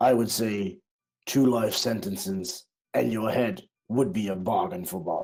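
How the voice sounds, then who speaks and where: Doing a put-on character voice, a man speaks at a medium pitch and a moderate pace with very wide pitch swings. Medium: actual play. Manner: salesy, wheedling.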